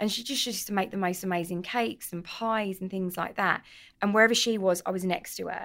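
This very clean recording, with a silent background, features a woman with a London accent. She talks at a fairly quick pace with ordinary pitch variation. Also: medium pitch for a woman. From North London (Tottenham, Edmonton). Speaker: cookbook author and pub owner. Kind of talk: casual chat. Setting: pub.

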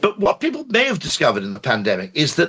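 A man is speaking. He has an English accent. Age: 50s. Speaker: advertising executive. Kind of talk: casual chat. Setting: live audio room.

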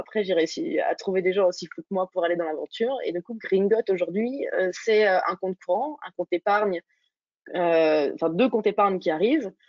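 Talking at a fairly quick pace, a woman with a normal speaking voice uses lively intonation at a medium pitch. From Burgundy, France (Dijon). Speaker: startup founder. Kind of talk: interview.

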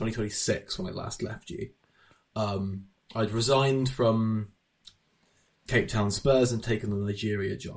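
At a fairly slow pace, a somewhat breathy man speaks at a medium pitch with ordinary pitch variation. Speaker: podcast host. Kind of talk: casual chat.

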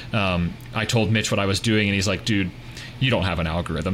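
Noticeable background noise sits behind a man talking at a fairly low pitch. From US, Pittsburgh, Pennsylvania. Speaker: tech startup founder, real estate investor. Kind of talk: podcast interview.

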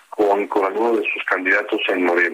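A man's voice is heard. Noticeable background noise sits behind him. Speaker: international relations professor. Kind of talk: interview.

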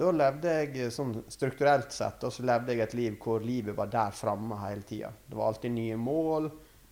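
With a normal speaking voice, a man talks at a fairly slow pace and medium pitch, with hardly any pauses. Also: ordinary pitch variation. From western Norway, Førde in Sunnfjord. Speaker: artist and gallery owner. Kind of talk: casual interview. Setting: artist's studio.

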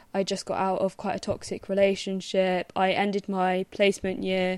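A woman speaks at a moderate pace with a medium pitch. The background is quiet. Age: 20s. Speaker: podcast co-host. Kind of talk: casual chat.

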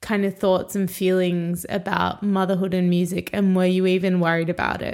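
At a moderate pace, a woman speaks with an Australian accent at a medium pitch. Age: 20s. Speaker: podcast host and musician. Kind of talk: interview conversation.

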